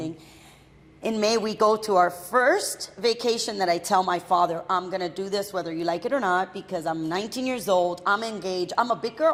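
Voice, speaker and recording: An unremarkable speaking voice from a woman with an American accent, medium pitch, ordinary pitch variation and a fairly quick pace. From Miami, Florida (Hialeah). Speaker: entrepreneur. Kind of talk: casual interview chat.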